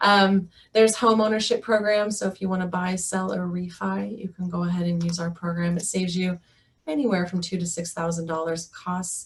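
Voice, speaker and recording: Somewhat breathy, a woman speaks at a fairly quick pace. Her pitch is medium and her intonation fairly even. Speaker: mental health therapist. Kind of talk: webinar presentation. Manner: fast.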